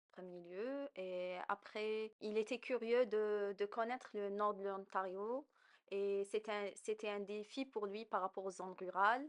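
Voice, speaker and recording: A woman at medium pitch, very slow, with fairly even intonation. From Algeria. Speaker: immigrant interviewee. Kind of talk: podcast interview.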